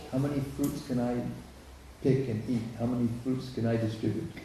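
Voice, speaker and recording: A man at a moderate pace, with audible room echo. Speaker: visiting lecturer. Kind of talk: lecture with consecutive interpretation.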